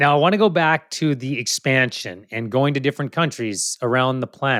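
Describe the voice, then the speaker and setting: With an ordinary speaking voice, a man talks at a fairly quick pace and a medium pitch with ordinary variation. The sound is dry and close with no echo, and the recording is very clean with a silent background. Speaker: podcast host. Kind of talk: interview.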